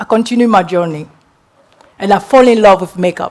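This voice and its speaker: A woman's speech moves at a moderate pace, with ordinary pitch variation. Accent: non-native. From Guinea, West Africa. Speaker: entrepreneur and public speaker. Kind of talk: motivational talk. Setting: stage with audience.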